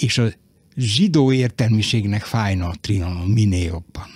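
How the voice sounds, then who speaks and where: A man talks at a very slow pace with lively intonation. The sound is dry with no echo over a quiet background. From Vojvodina, Serbia (Novi Sad); Vojvodina, Serbia. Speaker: writer. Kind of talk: radio interview. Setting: studio. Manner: halting. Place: studio.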